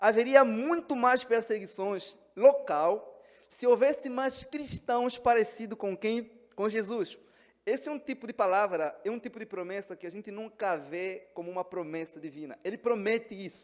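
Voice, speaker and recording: With an Angolan accent, a man speaks at a high pitch and a moderate pace. His intonation is lively, and his loudness swings widely. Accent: Angolan Portuguese, noticeable. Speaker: pastor. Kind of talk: sermon.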